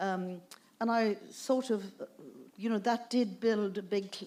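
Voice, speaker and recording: Speaking at a moderate pace, a woman with a fairly high pitch talks in a Dublin accent. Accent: Dublin Irish. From Ireland, Dublin. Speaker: author and festival speaker. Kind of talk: festival talk Q&A. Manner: halting, many fillers.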